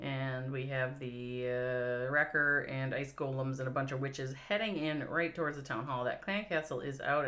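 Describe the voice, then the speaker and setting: With noticeable background noise, a woman with a Minnesotan accent talks at a moderate pace in a very deep, low voice with hardly any pauses. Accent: Minnesota. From US Midwest, Minnesota. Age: 50s. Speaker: esports commentator. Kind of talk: live commentary. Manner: animated.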